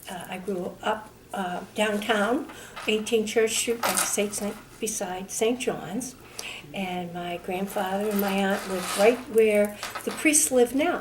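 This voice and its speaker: Very slow speech in a Boston accent, with ordinary pitch variation and noticeable background noise. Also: woman, medium pitch for a woman. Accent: Boston-area New England. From Hopkinton, Massachusetts. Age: 60s. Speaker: oral history interviewee. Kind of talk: oral history interview. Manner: hesitant with fillers.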